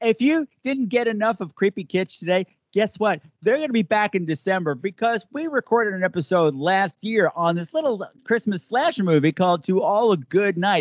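Animated American man with a high-pitched voice, lively intonation and a moderate pace. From Long Island, New York. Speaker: podcast host. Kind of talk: casual chat. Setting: video call.

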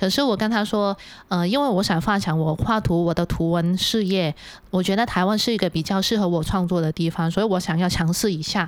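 A woman with an ordinary speaking voice and ordinary pitch variation is heard on a very clean recording with a silent background. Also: medium pitch for a woman, very even loudness. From Hong Kong. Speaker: illustrator. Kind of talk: casual chat. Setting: studio.

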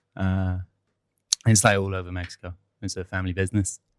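On a very clean recording with a silent background, a man with an American accent talks at a moderate pace and a fairly low pitch. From US and England. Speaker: cinema front of house worker. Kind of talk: casual chat. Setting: cinema office.

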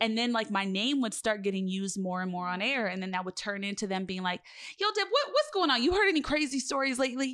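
A woman's fairly high voice at a very fast pace, with lively intonation. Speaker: podcast host. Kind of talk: casual interview chat. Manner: stern tone.

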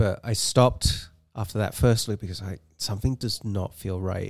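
With an English accent and fairly even intonation, the speech runs at a moderate pace in a very clean, silent-background recording that sounds dry and close with no echo. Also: man. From England. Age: 40s. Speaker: amateur ultrarunner. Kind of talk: casual interview.

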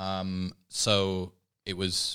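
Fairly low-pitched male speech, a very clean recording with a silent background. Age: 30s. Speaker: podcaster. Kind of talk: casual chat.

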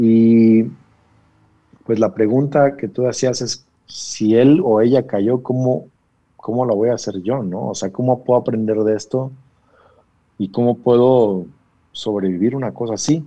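A man speaks fairly slowly, with long, frequent pauses. His medium pitch shows ordinary variation and his tone is dark and mellow. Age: 40s. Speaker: pastor. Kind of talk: casual chat.

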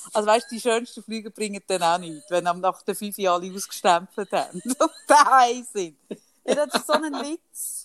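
This woman's voice sits fairly high and moves in very wide pitch swings at a moderate pace. The sound is dry and close, with no echo. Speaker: podcast co-host. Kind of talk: casual chat.

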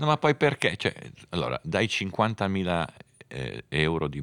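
A man's voice with vocal fry and very wide pitch swings comes through dry and close, with no echo, on a very clean recording with a silent background. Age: 60s. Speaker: motorsport journalist and podcast host. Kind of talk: casual chat about Formula 1.

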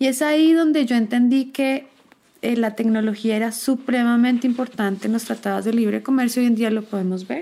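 Talking at a fairly quick pace, a woman uses a fairly high pitch with ordinary pitch variation in an unremarkable speaking voice. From Bogotá, Colombia. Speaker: technology expert and entrepreneur. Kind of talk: casual panel conversation.

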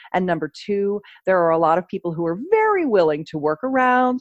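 With a plain, everyday voice, a woman speaks at a moderate pace with lively intonation, recorded dry and close with no echo against a quiet background. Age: 50s. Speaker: sex educator. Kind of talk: interview.

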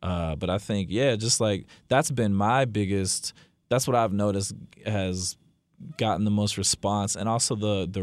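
At a moderate pace, a man with an American accent and a normal speaking voice speaks in a fairly low pitch with ordinary pitch variation. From New Jersey. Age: 20s. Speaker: record label owner. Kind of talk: casual interview.

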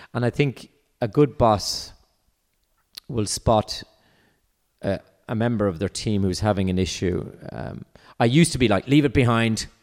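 A man with an Irish accent speaks at medium pitch with ordinary pitch variation and long, frequent pauses. The recording is very clean with a silent background. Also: moderate pace. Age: 50s. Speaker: entrepreneur. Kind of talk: casual chat. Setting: at home.

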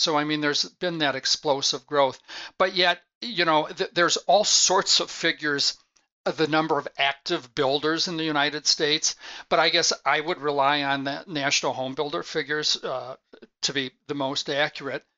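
Fairly high-pitched and fairly even in intonation, this man has an unremarkable speaking voice and keeps a moderate pace. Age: 60s. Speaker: sales executive and consultant. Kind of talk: interview. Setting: remote call.

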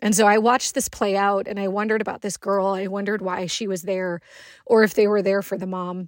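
The speech moves at a very fast pace with monotone, flat intonation. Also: woman, medium pitch for a woman, very clean recording, silent background. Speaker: cancer survivor telling a personal story. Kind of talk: personal testimony.

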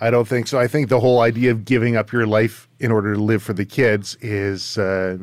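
With a Canadian accent, a man speaks in a plain, everyday voice at a medium pitch and a fairly quick pace. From Surrey, British Columbia, Canada. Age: 40s. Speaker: podcast host, firearms and outdoor trainer. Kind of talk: casual interview chat. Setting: video call.

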